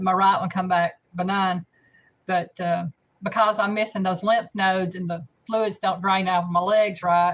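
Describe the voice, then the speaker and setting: A woman with a Southern US accent, somewhat breathy, at a moderate pace with monotone, flat intonation. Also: medium pitch for a woman. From US South, north Alabama. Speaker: cooking channel host. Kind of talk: casual live stream chat. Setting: live stream.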